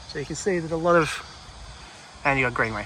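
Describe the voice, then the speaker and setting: An Australian accent from a man with a fairly high pitch, amid noticeable background noise. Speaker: travel vlogger. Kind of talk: walking vlog narration. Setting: outdoors. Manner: relaxed.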